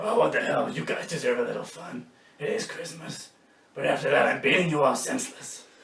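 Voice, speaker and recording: In a put-on character voice, the speaker sounds raspy, with a slight echo. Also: man, fairly quick pace. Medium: comedy sketch. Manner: gruff, terse.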